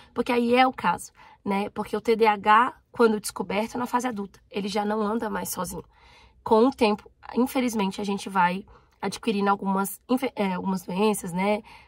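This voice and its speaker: A woman's fairly high voice, a normal speaking voice, at a fairly quick pace with fairly even intonation. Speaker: YouTuber. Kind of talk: personal vlog.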